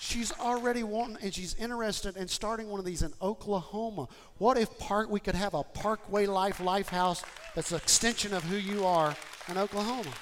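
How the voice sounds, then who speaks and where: Crowd noise sits in the background as the voice moves at a fairly quick pace with ordinary pitch variation. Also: man, high pitch for a man. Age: 50s. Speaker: pastor. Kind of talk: sermon. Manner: animated.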